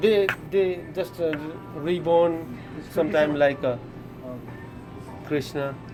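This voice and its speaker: Over music in the background, a man with a strong Nepali accent and a fairly high pitch talks at a very slow pace, showing ordinary pitch variation and long, frequent pauses. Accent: heavy Nepali. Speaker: gas station worker. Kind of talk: interview answer. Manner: easy going, friendly.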